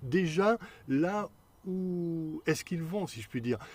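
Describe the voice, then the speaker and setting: A somewhat breathy man talks with very wide pitch swings. The recording is very clean, with a silent background. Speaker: hypnotherapist. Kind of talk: Q&A video talk. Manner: fast.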